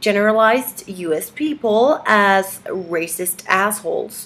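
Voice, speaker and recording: The woman speaks very slowly with lively intonation. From Mexico. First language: Spanish. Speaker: activist vlogger. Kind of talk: video message read from script. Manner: halting, many fillers.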